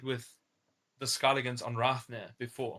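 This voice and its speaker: Here is a man with a German accent at a medium pitch. His tone is bright and sharp, and his pace is moderate. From Germany. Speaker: online game community leader. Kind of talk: interview. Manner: casual, hesitant with fillers.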